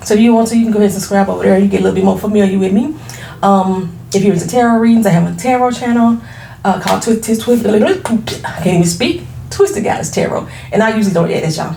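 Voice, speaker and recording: A woman speaks at a very fast pace in an animated tone with ordinary pitch variation. Noticeable background noise and audible room echo surround her. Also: medium pitch for a woman. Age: 40s. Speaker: beauty entrepreneur and YouTuber. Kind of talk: casual vlog introduction.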